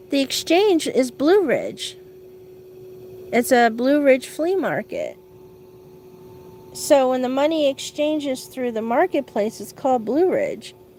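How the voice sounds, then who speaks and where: Pausing long and often, a woman with a high pitch speaks at a fairly slow pace with lively intonation. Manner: halting, stumbling over words.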